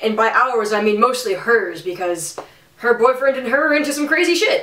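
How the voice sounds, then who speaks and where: A woman with an American accent speaks at a moderate pace with lively intonation. Noticeable background noise runs underneath. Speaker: vlogger. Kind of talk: storytelling. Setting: home office. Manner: loud; animated.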